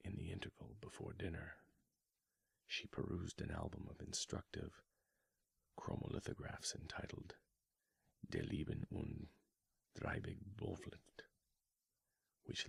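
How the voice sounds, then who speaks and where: Whispered at a fairly slow pace, the speech comes with long, frequent pauses. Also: man. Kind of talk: ASMR book reading. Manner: soft-spoken, whispered.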